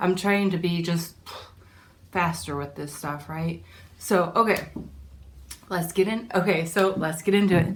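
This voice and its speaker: Audible room echo surrounds a woman speaking at a fairly slow pace with long, frequent pauses. Her pitch is fairly low and her intonation fairly even. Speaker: DIY and resale vlogger. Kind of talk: casual vlog.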